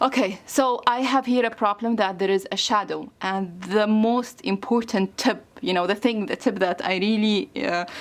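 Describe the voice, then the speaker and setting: Someone with a non-native accent speaks at a moderate pace with hardly any pauses and ordinary pitch variation. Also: woman, fairly high pitch for a woman. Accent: non-native English speaker. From Egypt. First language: Arabic. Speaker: craft YouTuber. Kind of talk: tutorial. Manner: halting, many fillers.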